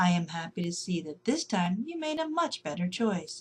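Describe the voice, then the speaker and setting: A woman puts on a character voice, soft-spoken and at a medium pitch. She keeps a moderate pace. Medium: read story. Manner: gentle, chuckling.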